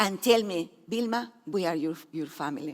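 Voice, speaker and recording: A woman with a Spanish accent talks fairly slowly, her pitch swinging very widely. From Peru. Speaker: speaker sharing her life story. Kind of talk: testimony.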